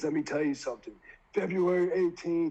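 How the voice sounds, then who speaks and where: A man's put-on character voice, high in pitch, at a fairly quick pace. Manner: masculine wrestling promo.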